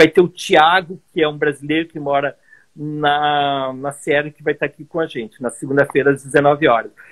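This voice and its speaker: Here a man talks at a moderate pace with a fairly high pitch. His intonation stays fairly even, while his loudness swings widely. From southern Brazil, Caxias do Sul (Rio Grande do Sul). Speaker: world traveler and travel entrepreneur. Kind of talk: casual interview conversation. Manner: sped up for time.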